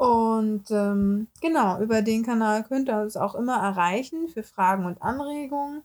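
Her intonation rises and falls with plenty of life. She is a woman using a normal speaking voice. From Hamburg, northern Germany. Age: 20s. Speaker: beautician and podcast host. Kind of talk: casual podcast introduction.

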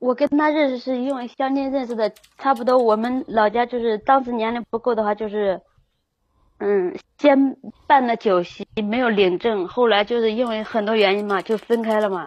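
A normal speaking voice from a woman, pitched fairly high, at a moderate speed and with ordinary rise and fall in pitch. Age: 20s. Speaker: caller seeking relationship advice. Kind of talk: call-in advice chat.

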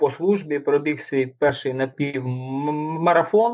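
The recording is very clean with a silent background. A man speaks at a fairly slow pace and a fairly high pitch. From Luhansk, eastern Ukraine. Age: 20s. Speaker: ultramarathon runner and army veteran. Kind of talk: interview. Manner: halting.

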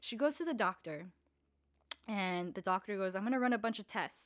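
Over a silent background in a very clean recording, a woman speaks at a moderate pace in a medium pitch, her tone animated and her intonation lively. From Southern California, Los Angeles County and San Diego. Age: 20s. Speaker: podcast host, hairstylist. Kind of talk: casual personal monologue, storytelling.

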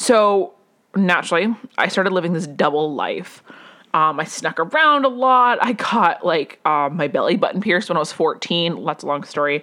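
She has an American accent and a fairly low pitch, and her tone is bright and sharp. This woman moves at a moderate pace with lively intonation. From US West (Las Vegas). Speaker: podcast host, personal growth coach. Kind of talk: solo monologue, personal storytelling. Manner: casual, many fillers and self-corrections; laughs often.

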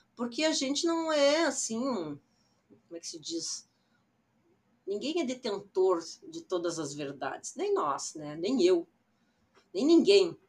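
A woman speaks at a very slow pace with very wide pitch swings and long, frequent pauses. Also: fairly high pitch for a woman, big swings in loudness. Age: 60s. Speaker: digital influencer. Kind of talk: personal storytelling monologue.

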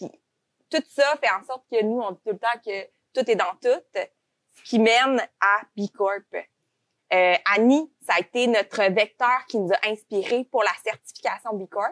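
Loudness swings widely and pitch varies in an ordinary way, with long, frequent pauses and a dry, close sound with no echo. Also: woman. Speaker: podcast host, recruitment agency owner. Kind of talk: podcast interview.

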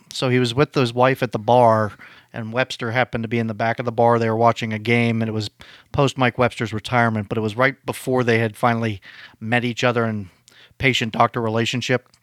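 In a Western Pennsylvania accent, a man speaks very fast in a medium pitch and a monotone, flat delivery, on a very clean recording with a silent background and a dry, close sound with no echo. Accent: Western Pennsylvania American. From Pittsburgh, US. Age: 30s. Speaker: podcast co-host in recovery. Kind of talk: casual chat.

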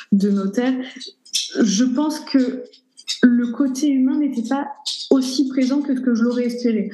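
Room echo can be heard clearly around the speech. This woman talks very slowly, her pitch varying in an ordinary way. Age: 20s. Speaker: shop owner. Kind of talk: interview. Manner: hesitant.

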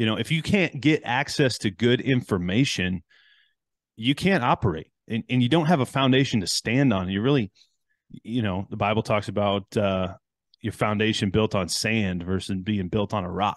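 In an American accent, a man speaks with a normal speaking voice, fairly low pitch and ordinary pitch variation at a moderate pace. The sound is dry and close with no echo, and the background is quiet. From US Midwest (Chicago, Detroit). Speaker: podcast host and engineer. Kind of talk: casual interview chat.

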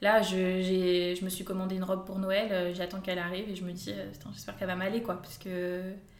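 A woman speaks at a fairly quick pace in a medium pitch, with monotone, flat intonation. Noticeable background noise and audible room echo are present. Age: 20s. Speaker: fashion blogger. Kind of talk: casual interview chat.

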